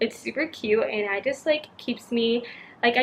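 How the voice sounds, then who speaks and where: Amid noticeable background noise, a woman speaks in a high pitch at a fairly quick pace. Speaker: youtuber. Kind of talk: tutorial. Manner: casual, filler-heavy.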